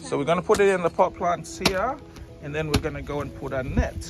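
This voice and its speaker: A man speaks at a moderate pace over loud background music. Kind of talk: casual vlog chat. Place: garden.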